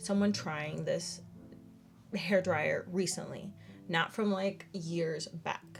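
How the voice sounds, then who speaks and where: Music plays in the background as a woman speaks at a fairly slow pace. Her pitch sits in the medium range, with ordinary pitch variation. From Dominican Republic. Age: 20s. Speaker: beauty YouTuber. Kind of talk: casual product review to camera.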